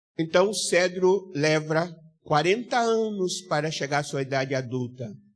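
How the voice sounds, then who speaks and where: A man's unremarkable speaking voice, fairly high-pitched, at a fairly slow pace with lively intonation. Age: 60s. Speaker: pastor. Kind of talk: sermon.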